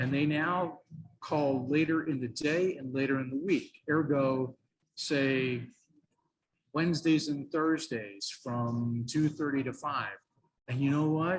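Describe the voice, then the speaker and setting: A man speaks at a very slow pace in a fairly high, somewhat breathy voice with fairly even intonation. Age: 60s. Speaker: radio sales trainer. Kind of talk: interview.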